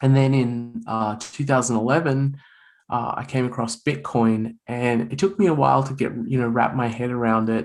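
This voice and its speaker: A man at medium pitch and moderate pace, with ordinary pitch variation. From Australia. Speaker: author and bitcoin writer. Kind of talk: podcast interview. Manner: repeats words, halting starts.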